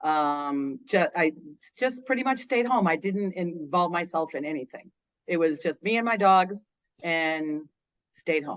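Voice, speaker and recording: A woman talks in a normal speaking voice at a fairly slow pace, her fairly low pitch carrying lively intonation. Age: 60s. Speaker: interviewee sharing weight loss story. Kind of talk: interview testimony.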